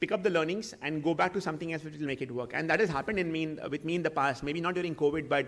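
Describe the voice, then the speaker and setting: A man with a fairly high pitch talks with ordinary pitch variation. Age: 30s. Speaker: entrepreneur. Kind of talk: Q&A talk. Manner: halting.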